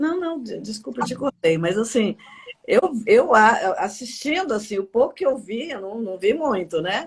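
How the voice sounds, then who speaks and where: A woman's fairly high voice at a moderate pace, with very wide pitch swings and big swings in loudness. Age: 60s. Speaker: live-stream host. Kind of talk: live-stream interview. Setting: live video stream.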